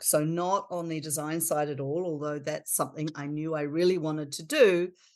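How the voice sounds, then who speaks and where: Against a quiet background, speech with a New Zealand accent moves at a moderate pace with ordinary pitch variation. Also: woman. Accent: non-American, New Zealand. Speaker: architecture firm principal. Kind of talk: podcast interview.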